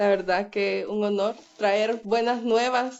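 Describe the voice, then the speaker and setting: Someone speaks at a very slow pace with a Salvadoran accent and fairly even intonation. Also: woman. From El Salvador. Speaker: podcast guest. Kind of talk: casual chat.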